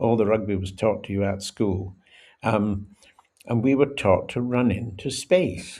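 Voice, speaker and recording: A dark, mellow tone with a Scottish accent at a moderate pace. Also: man. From Scotland. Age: 80s+. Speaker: former rugby international. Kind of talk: podcast interview.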